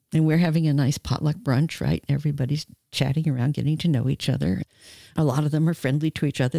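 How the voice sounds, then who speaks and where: Speaking very fast with an American accent, this voice has a dark, mellow tone, vocal fry and ordinary pitch variation, recorded very cleanly against a silent background with a dry, close sound and no echo. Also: woman. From New York. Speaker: author and sex educator. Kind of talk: casual interview conversation. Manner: animated.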